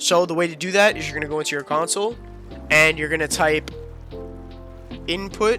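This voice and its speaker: With music in the background, a man talks fairly quickly in a fairly high pitch and an upbeat tone. He leaves long, frequent pauses. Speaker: gaming content creator. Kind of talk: gaming tutorial talk. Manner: casual, upbeat.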